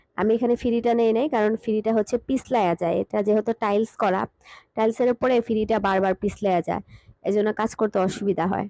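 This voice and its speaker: A woman's dark, mellow voice with a fairly high pitch, fairly even intonation and very even loudness, in a dry, close sound with no echo. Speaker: cooking vlogger. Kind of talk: cooking vlog. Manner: casual, conversational.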